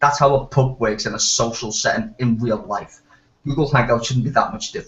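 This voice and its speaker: A man at a medium pitch talks fairly quickly, his pitch varying in an ordinary way. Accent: strong Liverpool. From Liverpool, northern England. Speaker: hangout participant. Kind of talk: casual chat.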